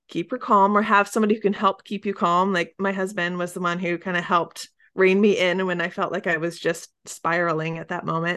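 Against a quiet background, an unremarkable speaking voice moves at a moderate pace. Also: woman. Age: 30s. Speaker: podcast host and mom coach. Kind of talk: interview.

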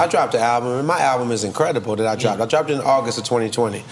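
A man talks very fast with an Atlanta accent. His pitch is medium, and there is noticeable background noise. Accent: Atlanta Southern US. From Trinidad and Tobago, raised in Atlanta. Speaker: rapper. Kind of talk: casual interview.

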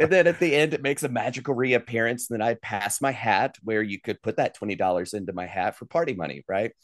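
A man with an American accent talks at a very fast pace with hardly any pauses, using a medium pitch and lively intonation, in a dry, close sound with no echo against a quiet background. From US South, western North Carolina (Asheville). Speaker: trade show presenter and mentalist entertainer. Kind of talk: interview. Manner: animated.

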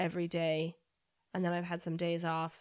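On a very clean recording with a silent background, a woman with an American accent and a fairly low pitch talks at a moderate pace in a normal speaking voice. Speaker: paddleboard tour operator and adventurer. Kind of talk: casual interview.

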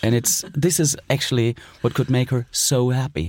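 A man with a German accent speaks at a medium pitch. His pace is fairly slow, with ordinary pitch variation. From East Germany. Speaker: film director. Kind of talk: interview. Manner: halting.

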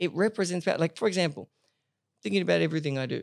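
In a very clean recording with a silent background and a dry, close sound with no echo, a man speaks at a high pitch. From Paris, France (international school). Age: 20s. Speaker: podcast host. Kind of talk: casual interview. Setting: at his home.

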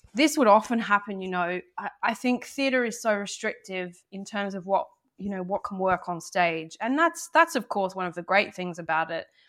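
A woman with an Australian accent at a medium pitch and moderate pace, with lively intonation, hardly any pauses and big swings in loudness, in a very clean recording with a silent background. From Australia, Sydney. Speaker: novelist and playwright. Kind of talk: interview.

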